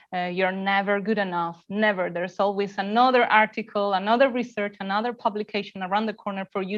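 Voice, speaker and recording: A woman speaks at medium pitch with fairly even intonation against a quiet background. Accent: non-native. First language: not English. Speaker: mindfulness and yoga teacher, former academic. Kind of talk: casual interview.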